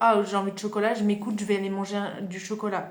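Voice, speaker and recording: This is a woman speaking at a medium pitch. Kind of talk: casual self-help podcast talk. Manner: hesitant, conversational.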